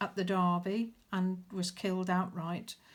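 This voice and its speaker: The recording is very clean, with a silent background. A woman speaks somewhat breathily at medium pitch and a fairly slow pace. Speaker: crafter showing handmade journal. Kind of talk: show-and-tell video. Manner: halting, many fillers.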